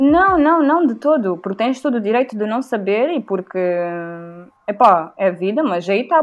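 A woman's high-pitched voice with very wide swings in pitch. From Mozambique. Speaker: podcast host and musician. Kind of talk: casual chat.

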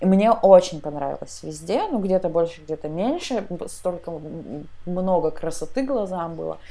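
Here is a woman's voice at a medium pitch. Noticeable background noise is present. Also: ordinary pitch variation, moderate pace. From Tyumen region, western Siberia, Russia. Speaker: podcast co-host. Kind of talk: casual chat.

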